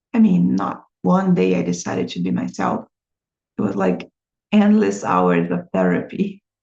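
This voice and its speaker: A woman with a Brazilian accent speaks at a fairly slow pace. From Brazil, small town. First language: Portuguese. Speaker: language teacher and vlogger. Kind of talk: personal vlog monologue. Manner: hesitant, many fillers.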